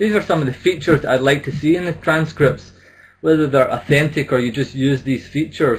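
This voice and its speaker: Somewhat breathy and fairly quick, a man talks at a fairly high pitch with ordinary pitch variation. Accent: Scottish. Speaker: business English trainer. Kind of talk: conference presentation. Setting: online symposium.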